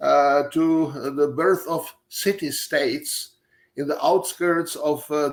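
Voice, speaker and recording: A man's fairly high voice with a Czech accent, a fairly even intonation and a very slow pace, on a very clean recording with a silent background. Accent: Czech, clearly audible. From Czech Republic. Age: 70s. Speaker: professor. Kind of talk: lecture. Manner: halting, many filler sounds.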